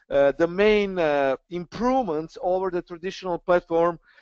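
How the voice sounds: Close and dry with no echo, a man's clear, smooth voice moves with ordinary pitch variation.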